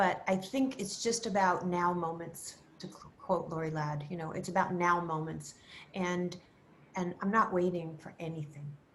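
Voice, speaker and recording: Audible room echo surrounds a woman speaking at a moderate pace with a fairly low pitch, ordinary pitch variation and big swings in loudness. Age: 70s. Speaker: style expert. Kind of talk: interview. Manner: animated.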